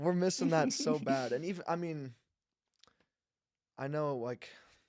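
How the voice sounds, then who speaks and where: A man speaks with a plain, everyday voice, pitched fairly high. His pace is fairly slow, with lively intonation. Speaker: sports podcast host. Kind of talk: casual podcast talk.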